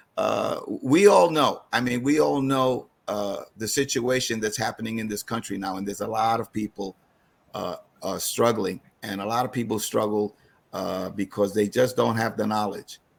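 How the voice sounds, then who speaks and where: Medium in pitch with ordinary pitch variation, a man speaks at a moderate pace. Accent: New York. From New York City (East Harlem). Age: 60s. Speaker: financial advisor. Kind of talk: online seminar presentation. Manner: halting, many fillers.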